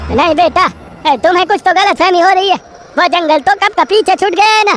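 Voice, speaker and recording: In a cartoonish character voice, the speaker rattles along very fast at an extremely high pitch over clear background noise. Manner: casual, colloquial.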